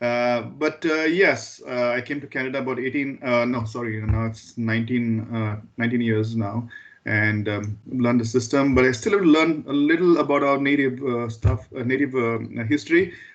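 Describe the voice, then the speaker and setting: The voice carries a Goan accent. The pace is moderate. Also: man, medium pitch for a man, ordinary pitch variation. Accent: Indian English (Goan). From Goa, India. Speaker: school board trustee. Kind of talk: meeting introduction. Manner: halting, stammers.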